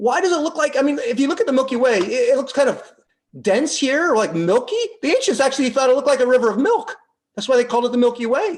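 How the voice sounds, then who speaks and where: The voice is loud and goes at a very fast pace. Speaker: astronomy lecturer. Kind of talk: lecture. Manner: halting. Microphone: webcam.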